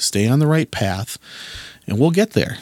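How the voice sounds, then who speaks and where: Speech at a moderate pace comes through with a dry, close sound and no echo. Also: man. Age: 40s. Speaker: podcast host. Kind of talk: solo podcast monologue. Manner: casual, with frequent fillers and repetitions.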